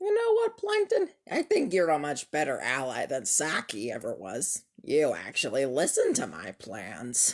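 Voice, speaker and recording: A man performs a raspy, cartoonish character voice. He keeps a moderate pace with hardly any pauses. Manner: sneering.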